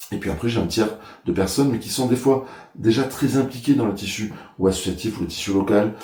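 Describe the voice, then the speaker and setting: Audible room echo surrounds a man's medium-pitched, somewhat breathy voice with a dark, mellow tone. He speaks at a fairly quick pace with ordinary pitch variation. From Ariège, French Pyrenees. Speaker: mayor, election candidate. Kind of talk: interview. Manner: hesitant, many filler sounds.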